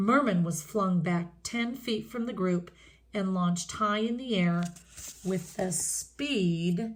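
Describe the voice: Ordinary pitch variation in plain reading aloud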